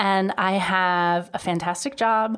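Here is a woman with a normal speaking voice at a medium pitch. The recording is very clean, with a silent background. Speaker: guest. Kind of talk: casual chat.

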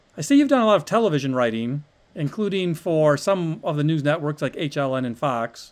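A normal speaking voice from a man with an American accent, fairly high in pitch, lively in intonation and at a fairly quick pace. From Ohio. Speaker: stand-up comedian and podcast host. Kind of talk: podcast monologue and interview.

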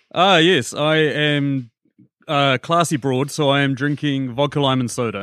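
A man with a New Zealand accent, fairly high-pitched, at a fairly slow pace with fairly even intonation. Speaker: film podcaster. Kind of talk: casual chat.

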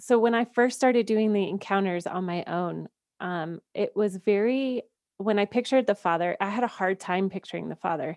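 In an ordinary speaking voice, a woman talks with an American accent at a moderate pace and ordinary pitch variation. The sound is dry and close, with no echo. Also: medium pitch for a woman. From US South, Georgia. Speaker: podcast producer and faith coach. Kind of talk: testimony.

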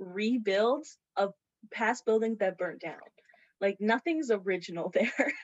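Speaking at a fairly slow pace, a woman with an unremarkable speaking voice uses lively intonation at a fairly high pitch. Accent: Canadian. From Morris, Manitoba. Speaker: museum volunteer. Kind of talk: casual storytelling.

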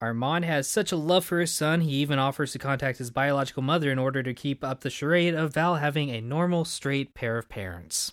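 An ordinary speaking voice: a man with an American accent speaks at a fairly high pitch with ordinary pitch variation, a fairly quick pace and hardly any pauses, in a very clean recording with a silent background. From Texas. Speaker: podcast host. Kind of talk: casual chat.

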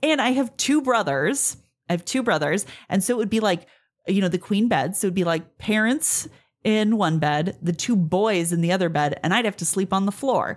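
Lively intonation at a moderate pace, on a very clean recording with a silent background. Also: woman, medium pitch for a woman.

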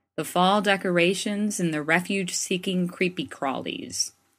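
On a very clean recording with a silent background, a woman's words come at a moderate pace. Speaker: faith columnist. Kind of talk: reading aloud.

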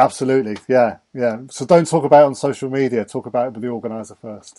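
Very fast speech from a man at medium pitch, with a dark, mellow tone, fairly even intonation, and big swings in loudness. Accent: English. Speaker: race event organizer. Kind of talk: podcast interview. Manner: halting, many fillers.

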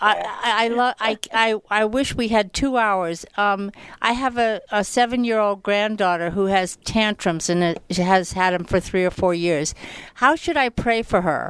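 A woman uses a plain, everyday voice at medium pitch with ordinary pitch variation and a fairly slow pace. Her loudness stays very even over a quiet background. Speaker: radio host. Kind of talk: radio show introduction.

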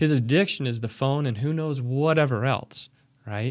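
Here is a man with a plain, everyday voice, medium pitch and ordinary pitch variation. He talks at a fairly slow pace on a very clean recording with a silent background. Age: 40s. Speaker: divorced single church member, army veteran. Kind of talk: casual interview.

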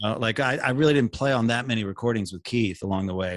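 A man with an American accent at a fairly low pitch, very fast, with ordinary pitch variation, on a very clean recording with a silent background. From US South, Panama City, Florida. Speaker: session and touring guitarist. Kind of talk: interview conversation.

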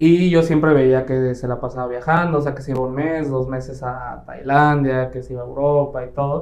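Monotone, flat delivery from a man at medium pitch, moderate pace with hardly any pauses, and audible room echo. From Mexico, Quintana Roo (Playa del Carmen). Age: 20s. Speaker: real estate team leader. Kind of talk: interview.

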